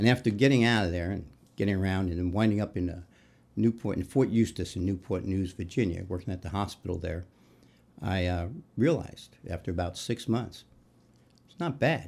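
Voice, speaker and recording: In an American accent, a man with a very deep, low pitch speaks at a fairly quick pace with ordinary pitch variation and long, frequent pauses, on a very clean recording with a silent background. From New York City, Queens. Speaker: retired firefighter and union leader. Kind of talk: interview conversation. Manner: halting, many false starts.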